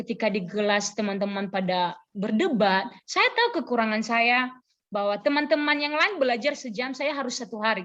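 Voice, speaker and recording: A woman with a normal speaking voice, fairly high in pitch, talks at a moderate pace with lively intonation and hardly any pauses. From Nias, North Sumatra, Indonesia. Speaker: preacher, church worker and teacher. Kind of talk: sermon. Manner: conversational.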